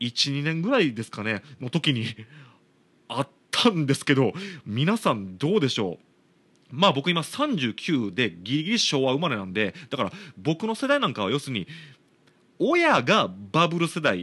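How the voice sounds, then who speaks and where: With a Kansai accent, a man with fairly high pitch and a bright, sharp tone uses very wide pitch swings and vocal fry at a moderate pace, taking long, frequent pauses against a quiet background. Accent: Kansai Japanese. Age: 30s. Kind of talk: casual solo talk.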